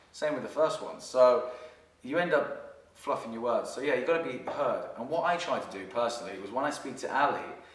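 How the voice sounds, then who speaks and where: Over noticeable background noise and audible room echo, a man talks at a fairly quick pace with big swings in loudness. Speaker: dating coach. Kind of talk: casual chat. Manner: fast.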